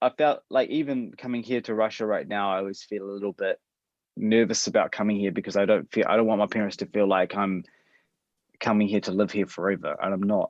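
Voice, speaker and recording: In a New Zealand accent, a man with a fairly low pitch talks at a very fast pace with fairly even intonation. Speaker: adoptee. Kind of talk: interview.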